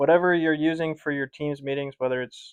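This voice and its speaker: This is a man speaking. His intonation is monotone and flat. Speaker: sales and marketing professional. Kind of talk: casual explainer to camera.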